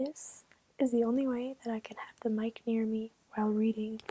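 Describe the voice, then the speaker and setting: Soft-spoken and somewhat breathy, a woman talks at a moderate pace and a fairly high pitch, with a dark, mellow tone, monotone, flat intonation and big swings in loudness, in a dry, close sound with no echo. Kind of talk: casual talk to camera.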